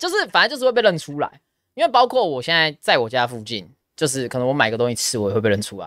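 In a dry sound with no echo and a quiet background, a man speaks at a very fast pace. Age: 20s. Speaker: esports caster and podcast host; podcast host. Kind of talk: casual chat. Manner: supported diaphragm voice, steady. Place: studio. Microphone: studio mic.

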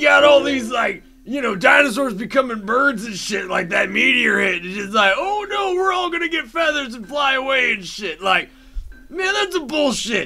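A man puts on a cartoonish character voice at an extremely high pitch. He speaks at a moderate pace with faint music in the background. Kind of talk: comedy rant. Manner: rambling, stream of consciousness.

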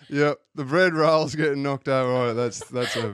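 This man has an Australian accent and a medium pitch. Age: 40s. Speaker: podcast guest. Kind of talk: casual chat.

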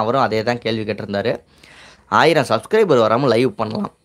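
The voice belongs to a man. It sits at a medium pitch. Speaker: YouTube tips channel host. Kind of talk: live stream Q&A. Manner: casual, colloquial. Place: home room. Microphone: lapel.

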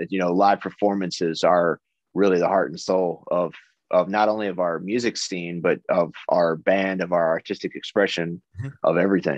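Speaking with an American accent at a moderate pace, a man has a very deep, low pitch and fairly even intonation, captured as a dry sound with no echo against a quiet background. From United States. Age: 30s. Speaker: metal band vocalist; interviewee. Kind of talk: interview. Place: home room. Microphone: video call.

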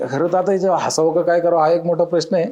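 A man is speaking. His tone is dark and mellow. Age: 40s. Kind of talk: interview.

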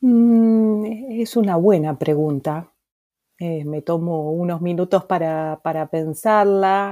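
Very slow and fairly low in pitch, a woman speaks with a dark, mellow tone. Her pitch variation is ordinary. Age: old. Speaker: psychologist. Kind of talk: interview.

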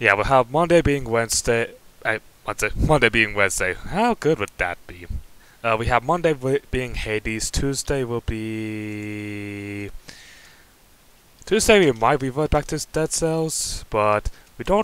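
Lively intonation carries a fairly slow delivery marked by long, frequent pauses. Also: man, dry sound with no echo. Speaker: channel host. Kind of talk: casual vlog chat. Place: home room.

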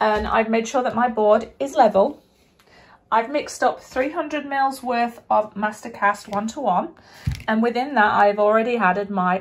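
Speaking at a moderate pace, a woman shows ordinary pitch variation. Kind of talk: tutorial. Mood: upbeat, hopeful. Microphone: phone near.

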